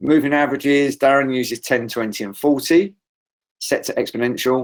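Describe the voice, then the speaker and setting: Ordinary pitch variation marks this voice, heard with a British accent. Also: man. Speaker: trading trainer. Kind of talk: online trading seminar.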